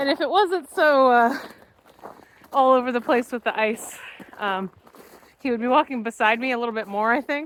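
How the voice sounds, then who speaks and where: Loud and high-pitched, a woman speaks at a moderate pace with ordinary pitch variation and long, frequent pauses. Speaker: vlogger. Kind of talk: casual chat. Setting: outdoors.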